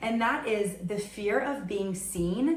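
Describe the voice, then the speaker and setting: A woman with an American accent is heard through noticeable background noise and audible room echo. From New York. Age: 30s. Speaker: podcast host. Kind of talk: solo podcast monologue. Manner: loud; animated.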